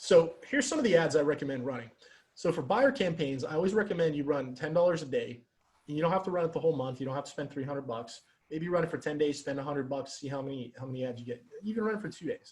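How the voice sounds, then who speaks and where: Pitched fairly high, a man talks at a very fast pace. His voice is somewhat breathy, with ordinary pitch variation. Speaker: Facebook ads coach for real estate agents. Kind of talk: webinar presentation. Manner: faster than usual, rushed.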